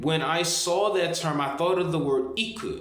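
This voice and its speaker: Over noticeable background noise and audible room echo, a man speaks at a very slow pace with lively intonation. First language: Japanese. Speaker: language learning video creator. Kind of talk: tutorial. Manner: halting, with many repeated words.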